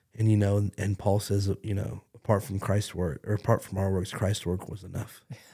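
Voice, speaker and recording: On a very clean recording with a silent background, a man speaks at a moderate pace in a fairly low pitch, his dark, mellow tone somewhat breathy and his intonation monotone and flat. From Canada. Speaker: pastor. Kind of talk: casual chat.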